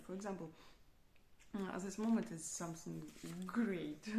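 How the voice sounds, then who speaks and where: A woman's somewhat breathy voice with a dark, mellow tone carries audible room echo. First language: not English. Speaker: software developer practicing English. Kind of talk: unscripted speaking practice monologue. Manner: halting, many fillers and restarts.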